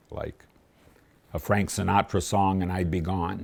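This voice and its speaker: A man with an American accent, his pitch very deep and low, at a moderate pace. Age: 80s+. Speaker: retired Navy pilot, amateur performer. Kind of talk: interview answer.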